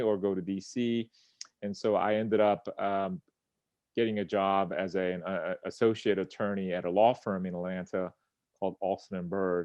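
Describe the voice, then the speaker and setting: The speaker is a man with fairly even intonation. He talks at a moderate pace. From Central Florida, US (born South Korea, moved at nine). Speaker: attorney, former federal prosecutor. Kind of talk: interview conversation. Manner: halting, many fillers.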